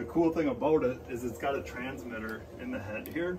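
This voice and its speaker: A man speaks at a moderate pace with ordinary pitch variation. Background noise is noticeable. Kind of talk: tutorial. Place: home room. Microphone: camera far.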